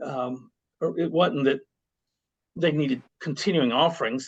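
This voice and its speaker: Against a quiet background, a man with a fairly high-pitched voice speaks at a moderate pace with ordinary pitch variation. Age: 60s. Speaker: podcast host. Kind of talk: casual interview conversation. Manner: hesitant, many fillers.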